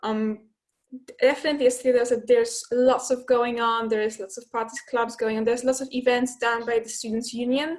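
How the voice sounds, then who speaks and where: Speaking fairly quickly in a Polish accent, a woman with a high pitch uses monotone, flat intonation. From Poland. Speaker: student ambassador, graduate. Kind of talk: casual talk to prospective students. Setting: webinar video call.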